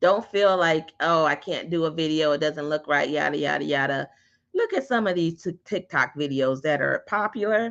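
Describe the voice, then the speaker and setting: A woman with an ordinary speaking voice talks at a moderate pace and a fairly low pitch, her intonation lively against a quiet background. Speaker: digital marketing instructor. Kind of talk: online class. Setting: live stream.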